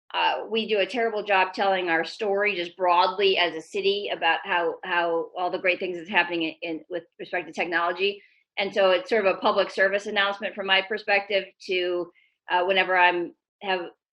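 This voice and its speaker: A woman talks at a fairly quick pace. Her intonation is flat and monotone. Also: medium pitch for a woman. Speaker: tech executive. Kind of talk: presentation. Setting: video call. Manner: fast.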